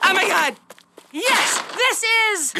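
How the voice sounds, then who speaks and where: An extremely high, squeaky put-on character voice from a woman. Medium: cartoon. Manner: dry, sarcastic.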